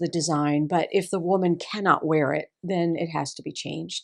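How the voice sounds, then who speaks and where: Over a very clean recording with a silent background, a woman talks at a fairly low pitch with a Texas accent. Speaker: seamstress. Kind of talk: tutorial.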